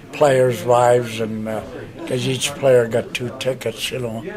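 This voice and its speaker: Against noticeable background noise, a man of medium pitch speaks with a Canadian accent and fairly even intonation. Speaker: war veteran. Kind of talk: interview reminiscence. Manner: halting, many fillers.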